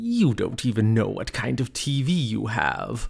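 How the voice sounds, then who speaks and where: A man puts on a character voice, pitched in the middle range and delivered at an unhurried, moderate speed. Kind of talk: put-on, comic.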